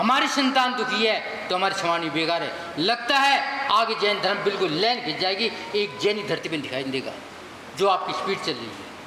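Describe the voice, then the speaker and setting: A man's raised, projected voice at a high pitch with lively intonation, amid audible room echo and noticeable background noise. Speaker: Jain monk. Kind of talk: sermon. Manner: forceful, scolding.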